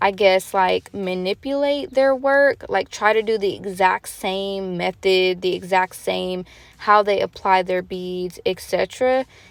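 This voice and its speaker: In a normal speaking voice, a woman at medium pitch with ordinary pitch variation talks at a fairly slow pace with hardly any pauses, in a very clean recording with a silent background and a dry, close sound with no echo. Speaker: nail tech vlogger. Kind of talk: tutorial.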